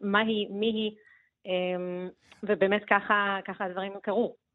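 Someone speaks at a fairly slow pace in a plain, everyday voice. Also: woman. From Soviet Union, raised in Beersheba. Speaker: novelist. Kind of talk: radio interview.

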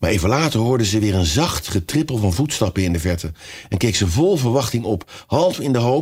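Lively intonation in an unforced reading voice

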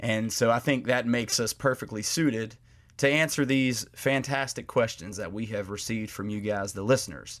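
A man speaks at a medium pitch and a moderate pace. His pitch variation is ordinary. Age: 30s. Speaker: lawyer and podcast co-host. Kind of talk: casual chat about legal topics. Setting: remote, in a bedroom at home.

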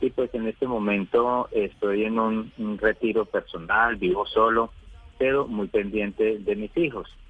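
Medium in pitch, a man's normal speaking voice stays fairly even in intonation. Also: fairly slow pace. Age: 50s. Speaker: caller. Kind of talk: radio phone-in. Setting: phone call.

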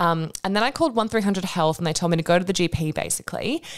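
An animated woman with an Australian accent, a very fast pace and ordinary pitch variation. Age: 30s. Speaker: podcast host and Pilates instructor. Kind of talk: casual solo update. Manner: chatty, animated.

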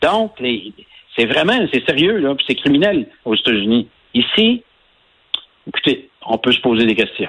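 A man with a Quebec accent talks at a fairly slow pace in a fairly high voice, leaving long, frequent pauses. His pitch swings very widely while his loudness stays very even. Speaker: environmental organization founder. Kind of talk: radio interview.

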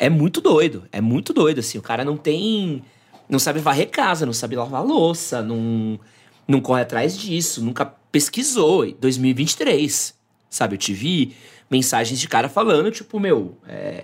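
A man speaks fairly slowly at a fairly high pitch, with very wide pitch swings. The recording is very clean and the background silent. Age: 30s. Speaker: men's lifestyle content creator. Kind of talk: casual chat.

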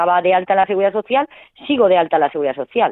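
This is a woman with a medium pitch. Her pitch varies in an ordinary way. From Valencia, Spain. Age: 30s. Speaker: poker player, cancer patient. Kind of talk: interview. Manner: halting, repeats words.

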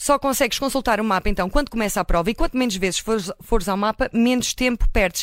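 A very fast pace with hardly any pauses, in a dry, close sound with no echo. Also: woman, fairly high pitch for a woman, ordinary pitch variation. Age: 30s. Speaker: radio reporter. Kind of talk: radio feature report.

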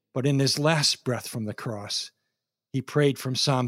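The voice has ordinary pitch variation and an American accent. The recording is very clean, with a silent background. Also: man. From Minnesota. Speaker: pastor. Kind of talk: sermon.

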